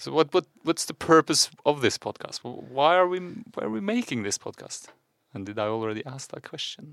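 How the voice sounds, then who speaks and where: A man with a Norwegian accent speaks at a moderate pace and a fairly high pitch, with very wide pitch swings and big swings in loudness, in a dry, close, very clean recording with no echo and a silent background. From Norway. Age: 40s. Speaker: podcast co-host. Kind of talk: casual chat.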